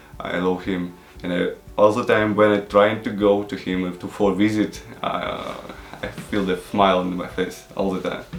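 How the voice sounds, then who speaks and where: Against music in the background and audible room echo, a man speaks at a moderate pace in a fairly low pitch with monotone, flat intonation. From Ukraine, Odessa. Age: 20s. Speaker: travel show host interviewee. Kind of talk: interview. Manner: halting, many fillers.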